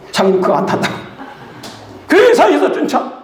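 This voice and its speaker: A man speaks in an animated tone. Noticeable background noise and audible room echo surround him. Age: 80s+. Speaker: pastor and missionary. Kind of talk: sermon-style testimony.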